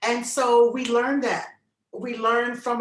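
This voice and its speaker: With an American accent, a woman talks at a moderate pace in a fairly high pitch, with audible room echo around her. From US South, Arkansas and Virginia. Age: 70s. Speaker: speaker on race.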